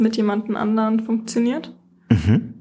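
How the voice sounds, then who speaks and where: Her voice is somewhat breathy, dark and mellow, and fairly high for a woman, delivered in a flat monotone at a moderate pace. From Franconia, Germany (Nuremberg). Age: 20s. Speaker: psychology student, dating podcast guest. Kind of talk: casual chat.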